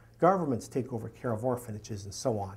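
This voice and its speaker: In a Canadian accent, a man speaks somewhat breathily at a moderate pace with ordinary pitch variation. The recording is very clean, with a silent background. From Canada. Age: 60s. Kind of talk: lecture.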